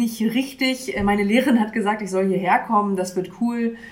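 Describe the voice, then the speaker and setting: Audible room echo follows a woman speaking at a very fast pace with medium pitch and fairly even intonation. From Mecklenburg, northeastern Germany (Bad Doberan). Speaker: church youth worker. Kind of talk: interview. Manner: hesitant, many fillers.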